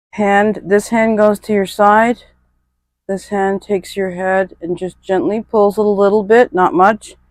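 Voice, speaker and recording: A woman's medium-pitched voice at a fairly slow pace, with fairly even intonation and a dry, close sound with no echo. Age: middle-aged. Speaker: fitness instructor. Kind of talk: workout instruction.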